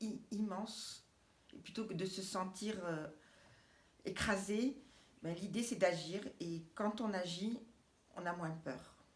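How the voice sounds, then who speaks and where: Against audible room echo, a woman at a medium pitch speaks at a very slow pace with long, frequent pauses and ordinary pitch variation. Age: 60s. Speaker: cooperative housing project member. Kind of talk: interview. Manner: halting.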